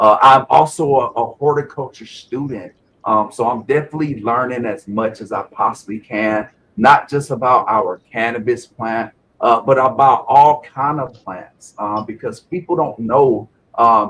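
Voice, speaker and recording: Here a man speaks with a South Carolina accent. His pitch is medium and his pace fairly slow. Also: ordinary pitch variation. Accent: Southern US (South Carolina), noticeable. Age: 40s. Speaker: Navy veteran and cannabis grower. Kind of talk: interview testimony.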